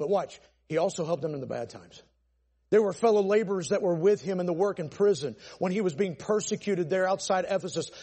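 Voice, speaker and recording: Loud and animated, a man with a Southern US accent talks at a very fast pace in a high voice with ordinary pitch variation. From Atlanta, Georgia, US South. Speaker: pastor. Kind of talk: sermon. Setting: church.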